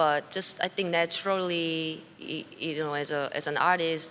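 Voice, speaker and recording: A woman with a Korean accent speaks at a moderate pace in a fairly low, bright, sharp tone with fairly even intonation. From South Korea. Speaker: blues musician. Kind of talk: interview. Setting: backstage at music festival. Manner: halting.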